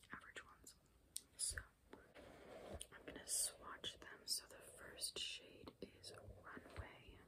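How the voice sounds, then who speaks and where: The pace is very slow. A woman whispers the words. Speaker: beauty ASMR creator. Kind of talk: ASMR whisper ramble. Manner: whispered. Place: home room. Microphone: phone near.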